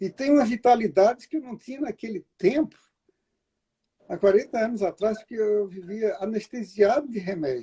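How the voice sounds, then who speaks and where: A man's high-pitched voice, dark and mellow in tone, at a moderate pace with a dry, close sound and no echo. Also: ordinary pitch variation, big swings in loudness. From Brazil. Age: 70s. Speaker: therapist. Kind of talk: interview.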